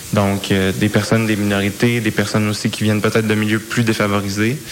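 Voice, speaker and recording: Over noticeable background noise, a man of medium pitch talks at a fairly quick pace. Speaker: youth parliament organizer. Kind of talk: interview.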